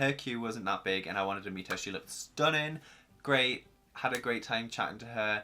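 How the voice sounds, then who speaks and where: On a very clean recording with a silent background, a man at medium pitch talks at a fairly quick pace with a bright, sharp tone and ordinary pitch variation. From northern England, Newcastle. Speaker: YouTuber. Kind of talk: storytime vlog. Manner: casual, rambling with many fillers.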